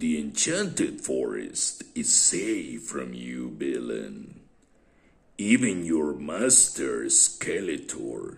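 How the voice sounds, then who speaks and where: A man talks at a very slow pace in a put-on character voice. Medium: read story. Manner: arrogant.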